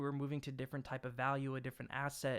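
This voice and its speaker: A man at medium pitch and fairly quick pace, on a very clean recording with a silent background. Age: 30s. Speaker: crypto YouTuber. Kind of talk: tutorial. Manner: fast; animated.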